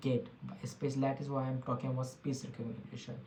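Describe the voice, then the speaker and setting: A man speaks with an Indian accent. Noticeable background noise is present. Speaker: tech podcast host. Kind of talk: solo podcast monologue. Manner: halting, many fillers and restarts.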